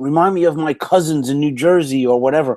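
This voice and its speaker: A man in a strong New York accent speaks with ordinary pitch variation, the sound dry and close with no echo. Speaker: motivational speaker and franchise consultant. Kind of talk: interview. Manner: animated storytelling.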